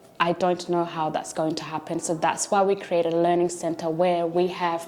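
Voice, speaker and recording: Over noticeable background noise, someone with a non-native accent talks at a moderate pace. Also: woman. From came to Australia at age eleven. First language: not English. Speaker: teacher and learning centre founder. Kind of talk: documentary interview.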